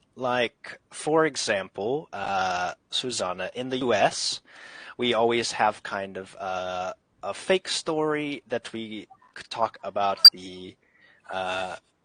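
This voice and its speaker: Big swings in loudness from a man with an American accent at a very slow pace, with a dry, close sound and no echo. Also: medium pitch for a man, lively intonation, quiet background. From US. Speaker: English teacher. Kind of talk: online group English class.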